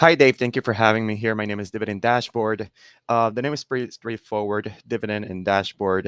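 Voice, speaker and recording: Speaking in a Spanish accent, a man keeps a fairly quick pace, fairly low pitch and fairly even intonation, in a dry, close sound with no echo over a quiet background. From Puerto Rico. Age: 30s. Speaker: dividend investor and content creator. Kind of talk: podcast interview. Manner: well spoken.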